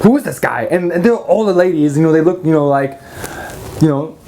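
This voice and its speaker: A man speaks with an American accent and very wide pitch swings. Noticeable background noise is present. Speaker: magic product reviewer. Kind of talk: product review rant. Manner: fast; animated.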